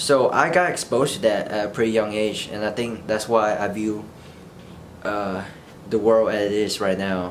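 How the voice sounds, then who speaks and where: Audible room echo and noticeable background noise come through behind a man's fairly low voice. His pitch varies in an ordinary way. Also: moderate pace. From Vietnam, rural area, moved to US at age eight. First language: Vietnamese. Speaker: vlogger. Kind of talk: casual unscripted monologue. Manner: halting, unscripted.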